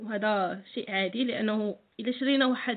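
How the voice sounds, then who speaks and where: A woman speaks. Her intonation stays fairly even. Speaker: accounting tutor. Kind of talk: tutorial. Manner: frequent hesitations (euh).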